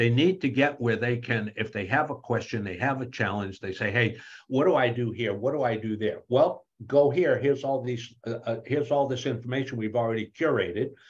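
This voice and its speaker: Against a quiet background, a man with a medium pitch and a somewhat breathy voice talks at a fairly quick pace with ordinary pitch variation. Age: 70s. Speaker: author and AI speaker. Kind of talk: interview. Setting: video call. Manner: animated; halting, repeats words.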